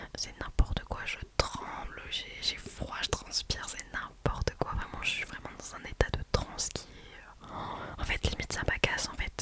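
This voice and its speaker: A woman whispering at a fairly slow pace, with big swings in loudness over noticeable background noise. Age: 20s. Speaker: ASMR creator. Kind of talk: ASMR Q&A, close-mic whispering and casual chat. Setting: close microphone, home recording. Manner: soft-spoken, whispery, friendly.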